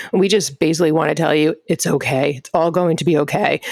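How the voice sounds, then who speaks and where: Talking at a very fast pace in a Long Island accent, a woman has a fairly low pitch. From Long Island, New York. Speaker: pediatrician, podcast co-host. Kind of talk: casual podcast introductions.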